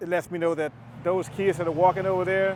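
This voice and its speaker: Dry and close with no echo, a man's voice moves at a fairly quick pace with a Southern US accent. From US South, Chattanooga, Tennessee. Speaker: pilot and entrepreneur. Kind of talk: casual vlog narration.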